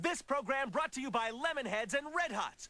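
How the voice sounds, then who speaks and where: A man projects a raised voice at an extremely high pitch, bright and sharp in tone. He keeps a moderate pace while his pitch swings very widely. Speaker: TV network announcer. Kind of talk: TV channel promo read. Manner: energetic.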